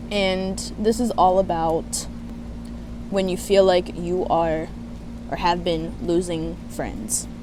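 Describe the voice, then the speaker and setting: A woman's very slow speech with long, frequent pauses over noticeable background noise. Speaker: spiritual coach. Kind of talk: casual talk to camera. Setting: outdoors.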